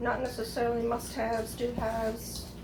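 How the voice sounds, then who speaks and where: A woman talks at a fairly quick pace over noticeable background noise, with audible room echo. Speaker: home cooking and gardening vlogger. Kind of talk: casual cooking tutorial.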